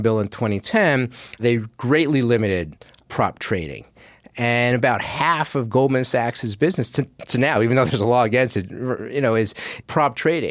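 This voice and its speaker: Here is a man with an ordinary speaking voice, medium in pitch, with ordinary pitch variation at a moderate pace. His loudness stays very even on a very clean recording with a silent background. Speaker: investigative journalist. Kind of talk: interview.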